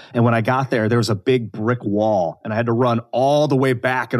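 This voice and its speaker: A man with an American accent has a plain, everyday voice. He speaks at a fairly quick pace and medium pitch, with fairly even intonation. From US Midwest, Northeast Ohio. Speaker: actor and podcast co-host. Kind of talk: casual interview chat. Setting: podcast recording.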